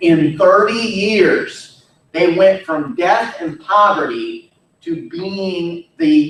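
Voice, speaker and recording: A man's high-pitched voice at a very slow pace, with very wide pitch swings. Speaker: history teacher. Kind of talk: lecture.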